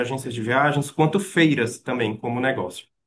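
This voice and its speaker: This man's pitch varies in an ordinary way. His voice sits at a medium pitch. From Maranhão, northeastern Brazil. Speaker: tourism researcher and lecturer. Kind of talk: lecture. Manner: hesitant fillers.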